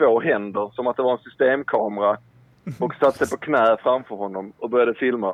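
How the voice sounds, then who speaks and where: A man speaks at a fairly quick pace and medium pitch in an unremarkable speaking voice with ordinary pitch variation. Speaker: caller. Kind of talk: casual chat. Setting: phone call.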